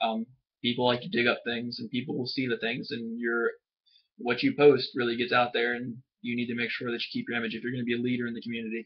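Over a quiet background, a man rattles along at a very fast pace in a medium-pitched, flat monotone. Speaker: student. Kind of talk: casual talk to camera, class assignment reflection. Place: home room. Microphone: webcam.

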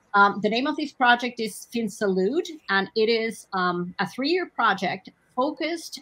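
A woman speaks fairly slowly with a fairly high pitch, lively intonation and a bright, sharp tone. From Mexico. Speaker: financial inclusion researcher; panelist. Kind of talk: panel discussion. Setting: online webinar. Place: home room. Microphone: video call.

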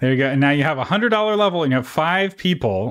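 On a very clean recording with a silent background, a man speaks at a very fast pace with lively intonation. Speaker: podcast host. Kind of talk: interview podcast. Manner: casual, laughs often.

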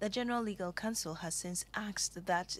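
A woman's unremarkable speaking voice at a moderate pace with ordinary pitch variation. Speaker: news anchor. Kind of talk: news reading. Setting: studio.

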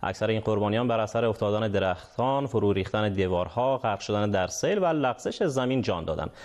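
Over a quiet background, a man with an Afghan accent talks at a fairly quick pace and a fairly low pitch, with very even loudness and ordinary pitch variation. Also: hardly any pauses. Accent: Afghan Dari. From Afghanistan. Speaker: news anchor. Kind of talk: news reading. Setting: studio. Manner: formal. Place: studio. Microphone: lapel.

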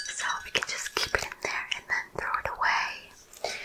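The speaker is a woman. Her words come out in a whisper. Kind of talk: soft role-play talk to viewer. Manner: soft close-mic ASMR speech. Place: home room. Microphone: studio mic.

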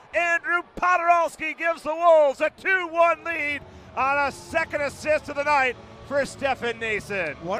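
Over noticeable background noise, a man uses a raised, projected voice, heard dry and close with no echo. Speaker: hockey play-by-play announcer. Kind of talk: ice hockey play-by-play commentary.

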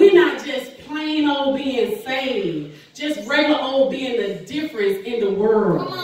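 Strong room echo and light background noise surround speech delivered at a fairly slow pace. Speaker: preacher. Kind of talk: sermon. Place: church. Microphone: camera far.

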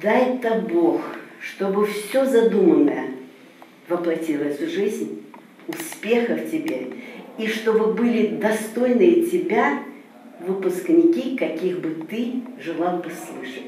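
A woman speaks at a very slow pace with very wide pitch swings. There is audible room echo and light background noise. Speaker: announcer. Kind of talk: interview answer. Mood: warm, blessing good wishes. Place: studio.

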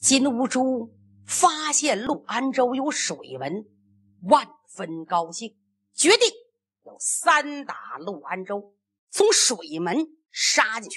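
Her pitch high and swinging very widely, a woman speaks at a very slow pace with big swings in loudness and long, frequent pauses. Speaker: storyteller performing a traditional serialized oral epic (pingshu). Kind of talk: narrative storytelling.

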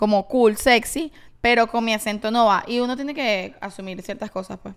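Speaking in a Venezuelan accent at a moderate pace, a woman with a fairly high pitch shows big swings in loudness. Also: ordinary pitch variation, quiet background. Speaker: podcast co-host and actress; podcast co-host, actress. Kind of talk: casual chat. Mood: amused, storytelling with quoted dialogue. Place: home room. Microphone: handheld.

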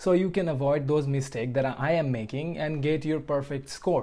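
A man's dark, mellow voice moves with fairly even intonation. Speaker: study vlogger. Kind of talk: casual vlog chat. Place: home room. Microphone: lapel.

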